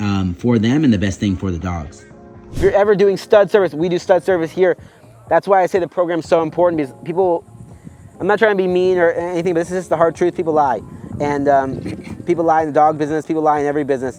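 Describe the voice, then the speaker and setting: Music plays behind a man speaking at a very fast pace. His intonation is lively. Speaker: dog breeder. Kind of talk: tutorial. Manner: animated.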